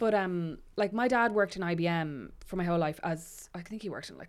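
With an Irish accent, a woman speaks at a very fast pace in a fairly low pitch with ordinary variation. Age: 30s. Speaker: writer and podcaster. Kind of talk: casual chat. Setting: studio.

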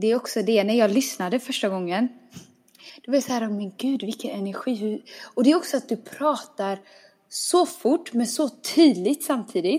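A woman with a fairly high pitch and a dark, mellow tone speaks at a moderate pace with lively intonation. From small town in Sweden. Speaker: podcast host. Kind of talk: casual chat.

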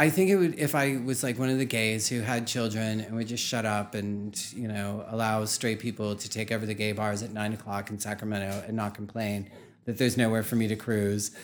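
An unremarkable speaking voice, belonging to a man with an American accent and a fairly low pitch. He talks at a fairly quick pace with fairly even intonation. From Pittsburgh, Pennsylvania. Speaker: drag queen and anthropology graduate. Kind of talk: casual interview.

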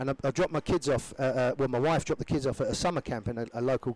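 A man with an English accent speaks very fast at medium pitch, with fairly even intonation. The sound is dry and close, with no echo. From England. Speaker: former pro footballer turned youth soccer coach. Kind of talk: casual interview chat.

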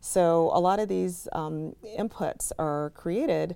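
A woman with a Chicago accent. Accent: Chicago American. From Chicago, South Side. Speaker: education nonprofit CEO. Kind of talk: interview.

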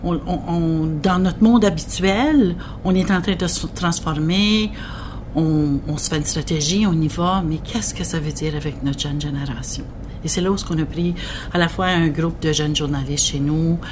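The voice moves at a moderate pace with ordinary pitch variation, alongside noticeable background noise and audible room echo. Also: woman, fairly low pitch for a woman. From northwestern New Brunswick. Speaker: regional broadcasting director. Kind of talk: interview.

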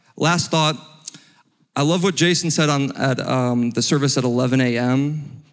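An ordinary speaking voice with an American accent moves at a fairly slow pace. Its pitch varies in an ordinary way. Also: man, fairly high pitch for a man, very even loudness. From Ohio, US. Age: 30s. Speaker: financial consultant. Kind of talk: testimony.

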